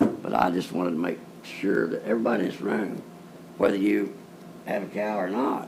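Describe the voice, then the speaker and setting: A man's very deep, low voice with lively intonation in a rural Texas accent, amid noticeable background noise and audible room echo. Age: 70s. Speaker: cattle rancher speaking at public comment. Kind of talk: public comment at county meeting. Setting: county courtroom meeting.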